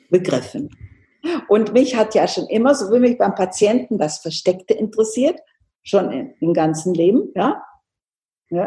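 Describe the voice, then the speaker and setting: Somewhat breathy and dark, mellow in tone, a woman speaks at a moderate pace with lively intonation. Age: 70s. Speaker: homeopath. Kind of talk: interview.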